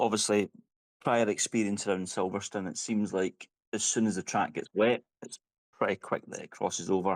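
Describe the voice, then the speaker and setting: A man with a Scottish accent speaks at a moderate pace in a fairly low pitch, with ordinary pitch variation. The recording is very clean, with a silent background and a dry, close sound with no echo. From Scotland. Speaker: sim racing driver. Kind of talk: post-race interview.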